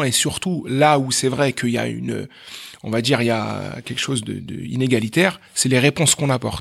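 A medium-pitched man at a fairly quick pace with ordinary pitch variation. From France, Meaux (Paris suburbs). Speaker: math teacher and entrepreneur. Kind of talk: interview. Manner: animated; halting.

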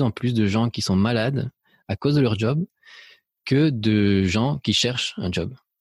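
A man with a medium pitch and ordinary pitch variation sounds somewhat breathy, recorded with a dry, close sound and no echo. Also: very clean recording, silent background. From Spain, then France and Belgium. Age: 40s. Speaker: photographer and painting teacher. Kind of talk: podcast interview. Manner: hesitant, many repetitions and fillers.

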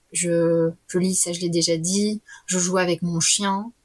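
A woman's voice comes across as somewhat breathy. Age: 30s. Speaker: facilitator. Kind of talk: casual chat. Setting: remote recording.

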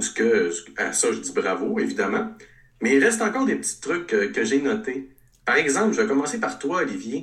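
Spoken at a moderate pace in a Quebec accent, the voice carries an audible room echo. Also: man. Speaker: regional columnist. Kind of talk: casual chat.

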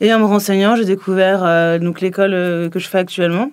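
A woman speaks in a monotone, flat intonation. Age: 20s. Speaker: MBA student. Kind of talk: testimony.

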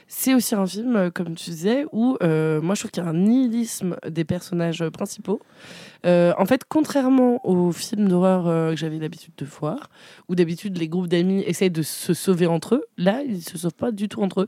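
On a very clean recording with a silent background, a woman with a dark, mellow tone speaks at medium pitch and moderate pace with lively intonation. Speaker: podcast host. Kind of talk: casual chat.

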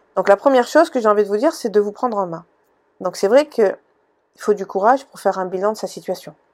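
A fairly quick-paced woman's voice with ordinary pitch variation. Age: 40s. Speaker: podcast host, personal development coach. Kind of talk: solo podcast monologue. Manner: hesitant, many fillers.

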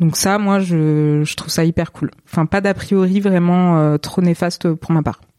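Speaking at a fairly slow pace with hardly any pauses, a woman has a dark, mellow tone and a fairly low pitch, fairly even intonation, and a dry, close sound with no echo. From southern France, Montpellier area. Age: 20s. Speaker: photographer. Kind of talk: interview.

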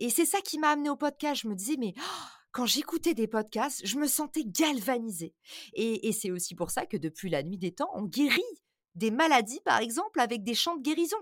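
A high-pitched woman's voice with very wide pitch swings at a moderate pace, in a very clean recording with a silent background. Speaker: marketing entrepreneur and podcaster. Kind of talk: interview conversation. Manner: animated.

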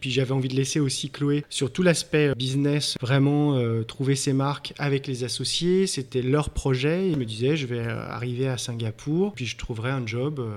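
Speaking fairly slowly at a medium pitch, a man barely pauses and uses ordinary pitch variation. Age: 40s. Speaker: entrepreneur. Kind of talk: interview. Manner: halting.

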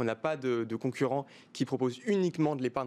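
A man talks at a very fast pace. His voice has a medium pitch. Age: 20s. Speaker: start-up CEO. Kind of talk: interview.

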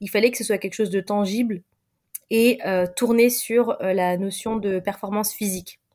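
A woman's medium-pitched voice at a moderate pace, monotone, flat intonation, big swings in loudness. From Paris suburbs, France. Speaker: content creator and diversity consultant. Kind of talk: interview conversation. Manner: hesitant, many fillers.

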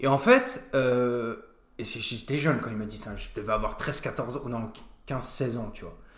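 Noticeable background noise sits behind a man speaking at medium pitch. He talks at a fairly slow pace with fairly even intonation. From France, Nancy area (Lorraine). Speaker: restaurant co-owner. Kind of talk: casual interview chat.

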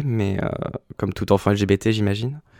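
Recorded very cleanly against a silent background, with a dry, close sound and no echo, a man with a fairly low pitch uses an ordinary speaking voice at a moderate pace with fairly even intonation. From France, Le Mans (Sarthe). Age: 20s. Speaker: drag artist. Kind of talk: casual interview.

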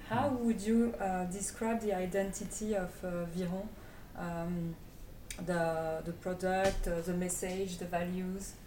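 A woman's medium-pitched voice in a French accent, very slow and fairly even in intonation, with noticeable background noise and audible room echo. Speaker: podcast host. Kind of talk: casual interview.

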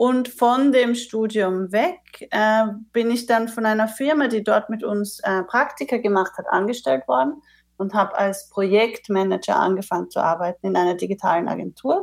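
With lively intonation and a fairly high pitch, a woman with an unremarkable speaking voice talks at a moderate pace on a very clean recording with a silent background. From Austria. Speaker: managing director of a consultancy. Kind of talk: interview.

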